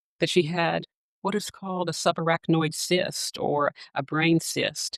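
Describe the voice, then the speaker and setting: A woman speaks in a Southern US accent with a fairly low pitch and fairly even intonation. The sound is dry and close, with no echo. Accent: noticeable Southern US. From US South, Arkansas. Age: 40s. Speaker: nurse practitioner and podcast host. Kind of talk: personal testimony. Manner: halting, with fillers.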